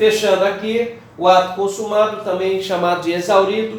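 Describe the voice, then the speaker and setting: A man speaks at a fairly slow pace with ordinary pitch variation, with audible room echo and noticeable background noise. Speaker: law teacher. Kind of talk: lecture.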